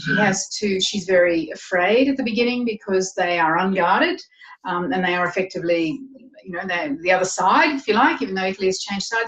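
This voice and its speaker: Lively intonation from a woman with an Australian accent. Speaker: novelist. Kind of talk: interview.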